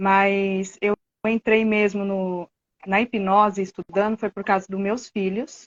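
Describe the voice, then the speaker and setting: Very slowly, a woman speaks at a medium pitch in a monotone, flat intonation. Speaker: hypnotherapy student, therapist. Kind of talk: live-stream conversation.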